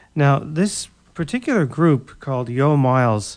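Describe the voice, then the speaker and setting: Medium-pitched male voice in a relaxed, warm tone, at a fairly slow pace with ordinary pitch variation. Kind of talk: radio DJ patter between jazz tracks, back-announcing songs and introducing the next. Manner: plain, matter-of-fact announcer delivery that reads out artist and album names.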